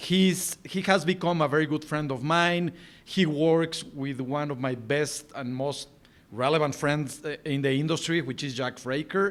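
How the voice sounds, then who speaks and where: With a Spanish accent, a man speaks at a fairly high pitch. His pace is fairly slow, with ordinary pitch variation. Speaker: podcast host. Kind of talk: interview. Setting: video call.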